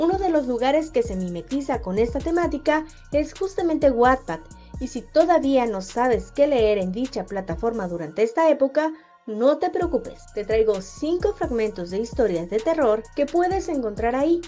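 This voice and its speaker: A woman's high-pitched voice at a moderate pace, full of very wide pitch swings, with music in the background. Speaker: podcast host and narrator. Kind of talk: podcast talk about writing.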